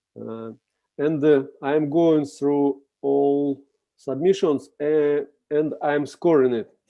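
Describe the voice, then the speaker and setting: Fairly high-pitched with fairly even intonation, a man speaks very slowly in a Russian accent. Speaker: contest juror. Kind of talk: video call discussion. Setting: video call. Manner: halting.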